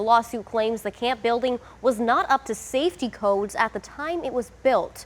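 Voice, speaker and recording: A woman's fairly high, a plain, everyday voice, at a fairly quick pace with ordinary pitch variation. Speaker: TV news anchor and reporter. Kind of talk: TV news reporting.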